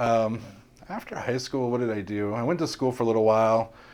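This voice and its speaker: In an ordinary speaking voice, a man talks at a fairly quick pace with a medium pitch. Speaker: security professional. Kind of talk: casual interview.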